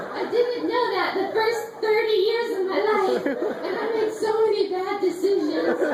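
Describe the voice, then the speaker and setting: Over crowd noise in the background, a woman speaks at a fairly slow pace at an extremely high pitch with fairly even intonation. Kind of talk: live storytelling performance. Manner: comedic.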